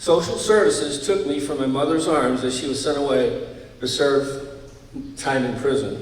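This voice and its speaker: Noticeable background noise and audible room echo surround a man speaking with an American accent at a fairly high pitch. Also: ordinary pitch variation, moderate pace. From upstate New York. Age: 70s. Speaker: former wrestler. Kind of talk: speech. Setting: stage with audience.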